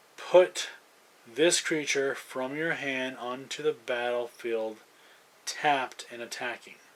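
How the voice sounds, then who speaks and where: A man at a very slow pace, fairly even in intonation, with big swings in loudness and noticeable background noise. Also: medium pitch for a man. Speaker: card collector opening packs. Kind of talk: unboxing commentary. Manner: hesitant with fillers.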